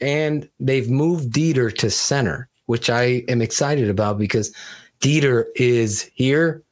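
An unremarkable speaking voice from a man at medium pitch, with very even loudness, ordinary pitch variation and a fairly slow pace, on a very clean recording with a silent background. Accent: American. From Connecticut. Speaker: football podcast host. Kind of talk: casual chat.

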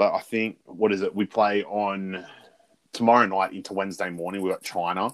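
Speaking fairly quickly, a man with an Australian accent keeps a monotone, flat intonation. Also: fairly low pitch for a man. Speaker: sports podcast host. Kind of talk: casual chat.

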